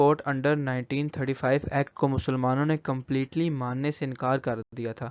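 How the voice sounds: Clear, smooth tone at a moderate pace. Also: man.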